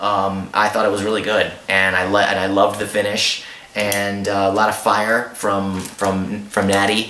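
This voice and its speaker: Over noticeable background noise, a man talks with flat, monotone intonation. His pitch is fairly low and his pace moderate. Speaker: ring announcer and wrestling commentator. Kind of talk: casual review talk to camera.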